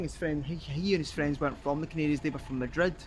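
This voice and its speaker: Speaking with a Scottish accent, a man has a fairly high pitch. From Scotland. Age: 20s. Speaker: travel vlogger. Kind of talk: casual vlog narration.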